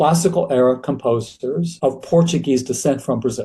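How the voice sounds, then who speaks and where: Somewhat breathy and dark, mellow in tone, a man speaks at a fairly high pitch. He has an American accent and keeps a moderate pace. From USA. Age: 80s+. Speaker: choral music scholar and author. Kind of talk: interview conversation.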